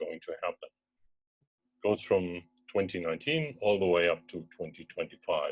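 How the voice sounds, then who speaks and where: Over music in the background, a man with a German accent speaks at a moderate pace, the sound dry and close with no echo. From Germany. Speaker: startup co-founder. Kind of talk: investor pitch webinar. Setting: video call.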